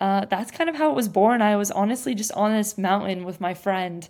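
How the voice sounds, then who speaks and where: A woman speaks in a West Coast accent at a medium pitch. The recording is very clean, with a silent background. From US Pacific Northwest (Bend, Oregon). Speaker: podcast host. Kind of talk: casual chat.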